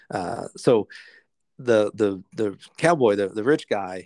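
A man speaks with an unremarkable speaking voice at medium pitch and lively intonation, recorded very cleanly against a silent background with a dry, close sound and no echo. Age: 40s. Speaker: retired professional poker player, sales professional. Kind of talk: casual interview chat.

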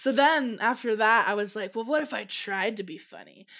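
A woman with an American accent speaks at a fairly quick pace in an ordinary speaking voice. Her medium pitch shows ordinary pitch variation, and the recording is very clean with a silent background. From US Midwest, Chicago suburbs. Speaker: social media comedian. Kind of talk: casual interview chat.

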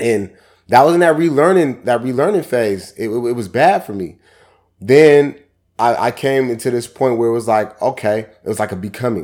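A man with an American accent speaks in a plain, everyday voice at a medium pitch. His pace is moderate and his intonation lively. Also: very clean recording, silent background. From Seattle, Washington. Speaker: author and motivational speaker. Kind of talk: casual interview.

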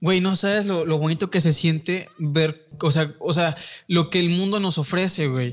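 A man with a Mexican accent and a high pitch speaks at a fairly slow pace, his intonation fairly even and his loudness very even. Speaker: film podcast host. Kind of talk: casual chat.

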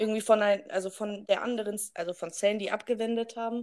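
A woman's voice at medium pitch. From Germany, rural village. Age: 20s. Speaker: podcast co-host, nursery teacher. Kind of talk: casual chat. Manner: loud.

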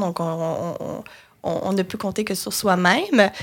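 A woman talks at a very slow pace. Her pitch moves in an ordinary way. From Quebec, Lanaudière (Joliette). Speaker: marketing and communications entrepreneur. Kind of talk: interview. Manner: hesitant, many fillers.

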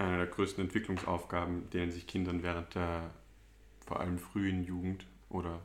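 The speaker is a man with a very deep, low pitch. He talks at a moderate pace. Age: 20s. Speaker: psychology student and drug clinic worker. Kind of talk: interview.

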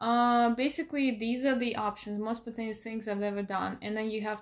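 A woman talks at a moderate pace with a fairly high pitch and fairly even intonation. It is a normal speaking voice. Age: 30s. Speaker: podcast guest setting up a dating profile. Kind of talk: casual chat.

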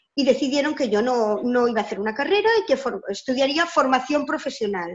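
A woman with a high voice speaks at a moderate pace, her pitch varying the ordinary amount. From Barcelona, Catalonia, Spain. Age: 50s. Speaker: educator. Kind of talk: interview.

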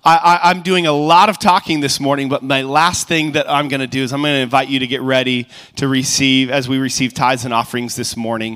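A man's bright, sharp voice, fairly high in pitch, at a moderate pace with ordinary pitch variation. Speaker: church pastor leading worship and announcements. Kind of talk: prayer and announcements. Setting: church.

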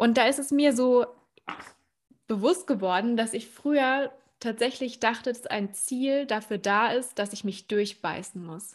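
On a very clean recording with a silent background, a woman with a plain, everyday voice speaks fairly slowly at a fairly high pitch, with ordinary pitch variation and big swings in loudness. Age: young. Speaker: podcast host and speaker. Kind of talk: interview.

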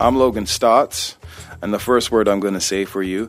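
This man has an unremarkable speaking voice that sits fairly low. He keeps a moderate pace and fairly even intonation. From Six Nations, Ontario, Canada. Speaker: musician. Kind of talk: personal testimony.

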